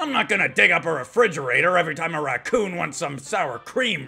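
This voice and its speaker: In a put-on character voice, a man talks at a fairly quick pace with a high pitch. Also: lively intonation. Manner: loud, blustering, oblivious.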